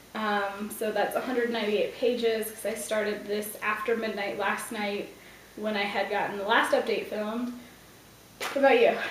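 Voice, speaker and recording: A woman speaks quietly at a fairly high pitch, in a monotone, flat intonation. There is audible room echo and noticeable background noise. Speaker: book vlogger. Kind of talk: casual vlog. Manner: quiet, hushed; fast.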